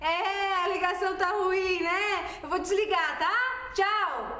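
A woman's raised, projected voice at a very slow pace, with audible room echo. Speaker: actress in a comedy sketch. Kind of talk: acted monologue, talking to herself while chatting online. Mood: playful, self-mocking. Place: home room.

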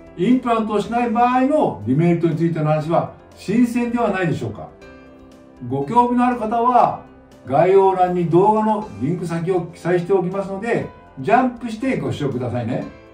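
Against audible room echo and faint background music, a man talks at a high pitch and a fairly quick pace. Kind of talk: explanatory talk to camera. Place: office.

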